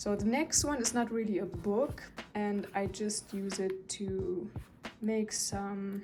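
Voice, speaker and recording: A woman talks with a non-native accent. Her pitch is medium and her intonation fairly even. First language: not English. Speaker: journaling vlogger. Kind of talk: casual show-and-tell video. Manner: hesitant, with fillers.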